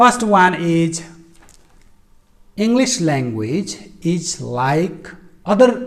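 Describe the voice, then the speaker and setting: A man with a Nepali accent and a high-pitched voice. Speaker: English teacher. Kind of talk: educational talk. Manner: halting, frequent fillers.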